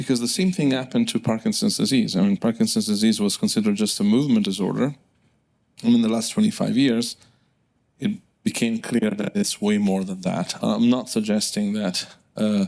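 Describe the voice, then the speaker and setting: The speaker has an Italian accent. The pace is fairly quick. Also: man. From southern Italy. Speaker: neurologist. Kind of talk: lecture. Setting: stage with audience. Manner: halting, many fillers.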